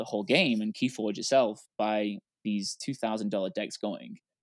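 On a very clean recording with a silent background, a man speaks at a fairly low pitch and moderate pace, with ordinary pitch variation and a dry, close sound with no echo. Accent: English. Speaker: board game newcomer. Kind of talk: casual round-table chat.

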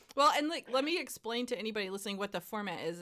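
A woman talks in a bright, sharp tone. Her intonation is lively. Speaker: podcast host. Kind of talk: casual chat.

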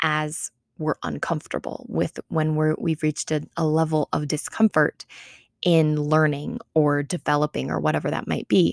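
The sound is dry and close, with no echo. The speaker keeps a fairly slow pace. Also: woman. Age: 20s. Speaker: podcast host and wellness coach. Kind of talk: casual solo podcast monologue.

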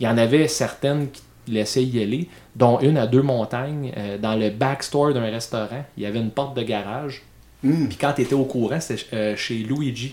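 With a dark, mellow tone, a man at medium pitch talks at a moderate pace with fairly even intonation. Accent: Quebec. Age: 30s. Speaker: podcast host. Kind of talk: casual chat.

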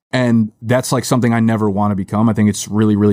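At a very fast pace, a man speaks with a dark, mellow tone and fairly low pitch in a dry, close sound with no echo. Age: 30s. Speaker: media company founder. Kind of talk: casual chat. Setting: studio.

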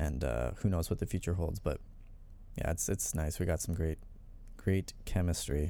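On a very clean recording with a silent background, a man with a very deep, low pitch and vocal fry speaks in a dark, mellow tone at a moderate pace, with ordinary pitch variation and long, frequent pauses. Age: 20s. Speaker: deathcore guitarist. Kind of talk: casual chat.

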